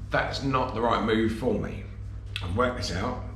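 A man speaks at a moderate pace. Audible room echo surrounds his voice. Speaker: campervan vlogger. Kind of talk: casual vlog chat. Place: home room. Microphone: phone near.

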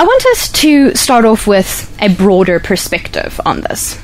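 A woman talks in a dry sound with no echo while faint music plays in the background. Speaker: radio show host. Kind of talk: radio host introduction. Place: studio.

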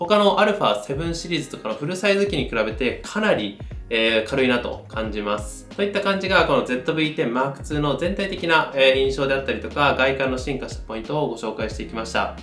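A man talks at a moderate pace with hardly any pauses. Faint music plays behind him, and the room echo is audible. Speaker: camera reviewer. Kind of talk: tutorial. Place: studio.

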